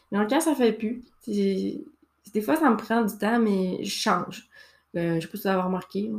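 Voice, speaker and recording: Lively intonation marks a woman's fairly high voice with a Saguenay accent. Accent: Quebec French (Saguenay). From Quebec, Saguenay. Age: 30s. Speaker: podcast host. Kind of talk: casual monologue. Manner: hesitant, many fillers. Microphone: new microphone, good sound.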